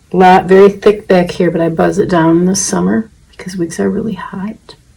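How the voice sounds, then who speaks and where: A woman at medium pitch and a moderate pace, with noticeable background noise. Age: 70s. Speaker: wig-wearing video blogger. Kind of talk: tutorial. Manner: casual, conversational with fillers.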